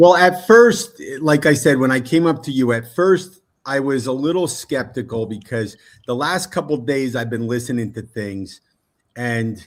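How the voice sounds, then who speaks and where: On a very clean recording with a silent background, a man speaks in a plain, everyday voice at medium pitch, moderate pace and with lively intonation. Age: 60s. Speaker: football fan, guest. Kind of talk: casual chat.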